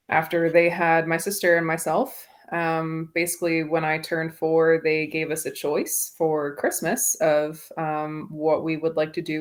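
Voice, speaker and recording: In a very clean recording with a silent background, a woman with an American accent speaks at a fairly slow pace, her fairly low voice monotone and flat. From North Carolina mountains. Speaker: podcast listener guest. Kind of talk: casual interview.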